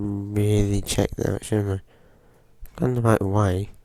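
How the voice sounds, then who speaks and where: Noticeable background noise runs under the speech. The intonation stays fairly even. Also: man. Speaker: gaming youtuber. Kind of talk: gameplay commentary. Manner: hesitant, many fillers.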